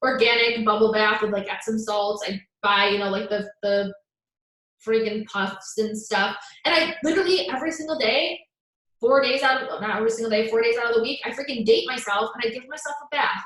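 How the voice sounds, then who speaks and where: A woman's voice comes across animated, with a fairly high pitch. She moves at a fairly quick pace, and her pitch varies in an ordinary way. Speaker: self-love coach. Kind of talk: live stream talk. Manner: fast.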